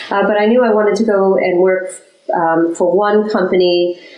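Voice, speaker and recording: A woman speaks with an American accent at a moderate pace and with fairly even intonation. Room echo is audible and there is noticeable background noise. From United States. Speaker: chief sustainability officer. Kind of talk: interview.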